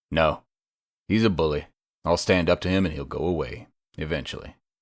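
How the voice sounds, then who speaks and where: In a put-on character voice, a man growls at a very deep, low pitch, moving at a fairly quick pace with ordinary pitch variation. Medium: read story. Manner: growling, curt.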